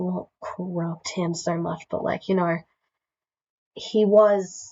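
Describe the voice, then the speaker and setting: A woman speaks quietly in a fairly low voice with fairly even intonation. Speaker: YouTuber. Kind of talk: casual talk to camera.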